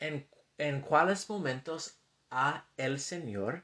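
Very slow but with lively intonation, a man speaks in an American accent, his fairly high voice bright and sharp in tone. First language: English (speaking Spanish). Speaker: scripture teacher podcaster. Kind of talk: scripture lesson. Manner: halting.

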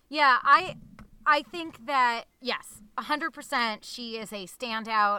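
A woman speaks with a bright, sharp tone in an American accent. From Newton, Massachusetts. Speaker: podcast co-host. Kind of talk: casual chat.

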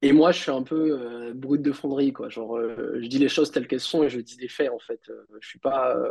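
A man with a normal speaking voice talks at a fairly quick pace and medium pitch. His intonation is fairly even, though his loudness swings a lot. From Réunion. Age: 30s. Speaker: software engineer and entrepreneur. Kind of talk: casual interview.

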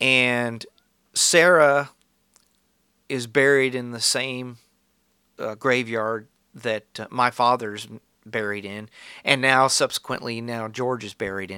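A man's bright, sharp voice at medium pitch, very slow with long, frequent pauses, fairly even intonation and big swings in loudness, on a very clean recording with a silent background. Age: 50s. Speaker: podcast host. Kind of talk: monologue. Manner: halting.

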